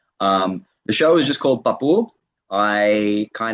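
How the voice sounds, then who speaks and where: A man with an Australian accent talks at a fairly low pitch. The sound is dry and close, with no echo. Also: quiet background. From Australia, Sydney. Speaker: comedian. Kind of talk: interview.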